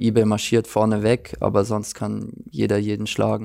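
Heard on a very clean recording with a silent background, a man speaks in a dark, mellow tone with monotone, flat intonation. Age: 20s. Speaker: professional footballer. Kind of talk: interview.

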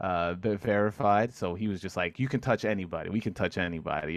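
A man with a New York accent, very deep and low in pitch, ordinary pitch variation, a moderate pace, and a quiet background. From New York City (Corona, Queens). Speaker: podcast host, guest. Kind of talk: casual chat.

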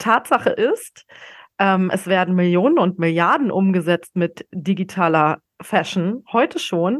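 The speaker is a woman. She talks very slowly. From Bavaria, small town north of Munich. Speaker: podcast host and retail innovation expert. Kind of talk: solo podcast monologue. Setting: home office. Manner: animated.

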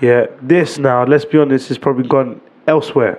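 With a medium pitch, a man talks in a fairly even intonation. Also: moderate pace, slightly mellow tone.

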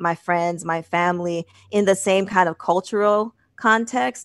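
A woman with a normal speaking voice and a fairly low pitch speaks at a moderate pace, with a dry, close sound and no echo. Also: quiet background. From US Northeast, Boston and Manchester, New Hampshire. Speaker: nurse practitioner or clinician. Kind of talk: casual interview.

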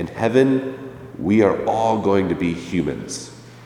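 Male speaker with lively intonation and medium pitch, plus noticeable background noise. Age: 20s. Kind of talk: sermon.

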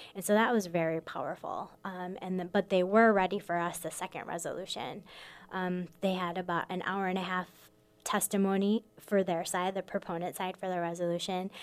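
Speaking with an American accent at a fairly quick pace, a woman keeps a medium pitch and a monotone, flat intonation. The recording is very clean, with a silent background. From Michigan, US Midwest. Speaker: immigration lawyer and advocacy director. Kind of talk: radio interview. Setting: radio studio.

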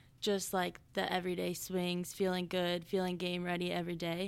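A woman with an American accent speaks at a moderate pace and medium pitch in a flat monotone, on a very clean recording with a silent background. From Lake Elsinore, Southern California. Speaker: college softball player. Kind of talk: interview.

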